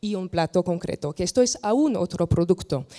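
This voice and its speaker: Against a quiet background, a voice with a French accent and a dark, mellow tone moves at a moderate pace with ordinary pitch variation. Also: woman. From France. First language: French (speaking Spanish). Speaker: landscape architect and wine tourism expert; panel expert. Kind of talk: panel discussion. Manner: halting. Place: hall. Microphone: handheld.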